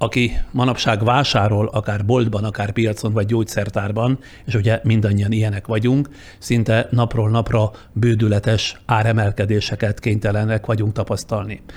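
Speaking at a moderate pace, a man with a fairly low pitch sounds somewhat breathy, his intonation monotone and flat and his loudness very even. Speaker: journalist, podcast host. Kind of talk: scripted narration; interview. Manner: formal.

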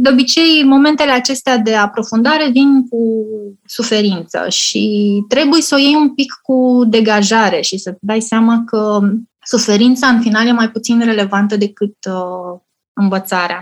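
A woman with a fairly high pitch and ordinary pitch variation talks at a fairly slow pace in an ordinary speaking voice. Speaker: communications professional and museum project founder. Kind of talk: interview.

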